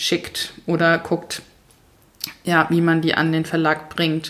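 Moving at a fairly slow pace, the speaker has an ordinary speaking voice. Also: woman. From Mainz, Germany. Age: 30s. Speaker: author and minimalism coach. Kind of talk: casual interview. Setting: in-person recording at host's home.

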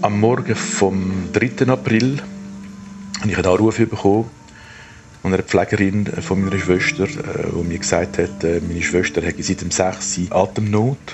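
Music plays in the background as a man with a fairly low pitch speaks at a moderate pace, using ordinary pitch variation. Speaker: retired psychologist. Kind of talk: personal audio diary. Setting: outdoors at a cemetery.

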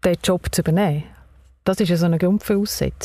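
A somewhat breathy woman with fairly low pitch, a fairly quick pace and ordinary pitch variation. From Baden, Aargau, Switzerland. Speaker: podcast host. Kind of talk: interview. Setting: car.

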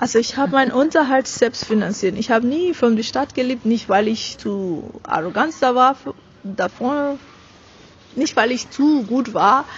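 Fairly slow delivery in a non-native accent, with noticeable background noise. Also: woman, high pitch for a woman. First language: not German (speaking German). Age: 30s. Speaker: business coach and author. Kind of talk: interview. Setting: at an event.

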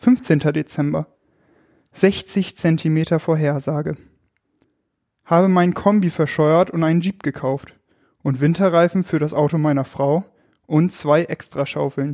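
A man with a fairly high pitch and a dark, mellow tone speaks at a fairly slow pace with fairly even intonation and long, frequent pauses, in a dry, close sound with no echo. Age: 20s. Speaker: youth work volunteer. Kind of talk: reading aloud.

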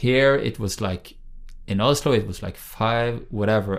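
The voice carries a Norwegian accent, with a moderate pace and ordinary pitch variation. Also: man. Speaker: think tank director, former politician. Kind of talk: interview. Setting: in person, on location. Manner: halting, many fillers.

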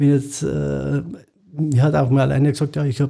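On a very clean recording with a silent background, a man with a Munich accent speaks in a dark, mellow, somewhat breathy tone at a fairly high pitch. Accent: Bavarian (Munich) dialect. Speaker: chimney sweep and ventilation cleaning business owner. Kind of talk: interview. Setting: studio.

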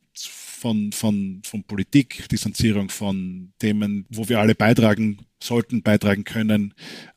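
This man has an Austrian accent and a fairly low pitch. He talks at a fairly slow pace with fairly even intonation, in a dry, close sound with no echo. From Austria, Weinviertel (Lower Austria). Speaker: neurologist and researcher. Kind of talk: interview. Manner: halting, many repetitions.

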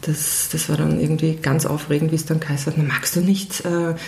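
Fairly quick speech from a woman, with noticeable background noise and audible room echo. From Austria, Vienna. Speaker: music PR specialist. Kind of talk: interview. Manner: halting, many fillers.

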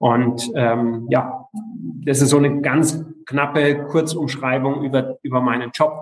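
Very slowly, a man speaks in a fairly high, monotone voice with flat intonation and very even loudness. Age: 40s. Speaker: local politician. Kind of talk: interview. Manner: halting, many fillers.

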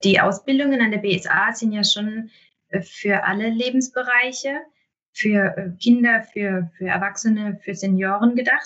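A woman talks in a plain, everyday voice at a fairly high pitch. Her pace is fairly slow and her intonation fairly even. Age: 30s. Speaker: municipal health manager. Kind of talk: interview. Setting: remote recording.

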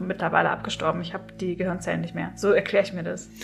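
A woman's very fast speech with vocal fry and fairly even intonation. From southern Germany, Swabia near Stuttgart. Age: 30s. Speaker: author and copywriter. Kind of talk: casual chat.

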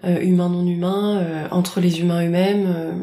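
Audible room echo and noticeable background noise surround a woman's voice. She speaks at a moderate pace and a medium pitch. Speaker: host's best friend. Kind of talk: casual chat, interviewing the host. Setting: home of the host's friend.

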